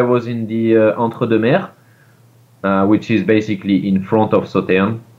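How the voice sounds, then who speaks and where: A man speaks with a French accent at a medium pitch. His pace is moderate. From France. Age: 30s. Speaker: winemaker. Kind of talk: interview. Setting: video call.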